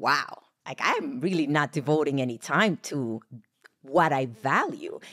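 Against a quiet background, a woman speaks at a fairly slow pace in a very deep, low pitch with lively intonation. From Puerto Rico. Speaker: podcast co-host; podcast host. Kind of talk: casual chat. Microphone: studio mic.

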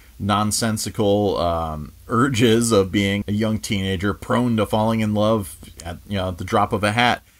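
The speaker is a man with a fairly low voice. He talks at a moderate pace. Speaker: video reviewer. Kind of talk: review commentary. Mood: enthusiastic, relaxed. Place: home room.

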